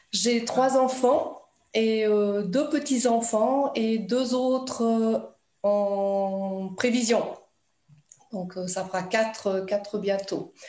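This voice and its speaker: With a dark, mellow tone and a fairly high pitch, a woman talks at a very slow pace with ordinary pitch variation and long, frequent pauses, in audible room echo. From Italy. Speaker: writer, former fitness instructor. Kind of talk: interview.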